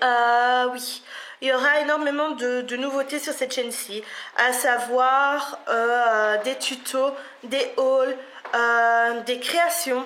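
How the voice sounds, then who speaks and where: A woman's high, bright and sharp voice in a Belgian accent, very slow and monotone with flat intonation, with audible room echo. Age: 20s. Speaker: beauty vlogger. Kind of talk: casual vlog to camera. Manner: hesitant, many fillers.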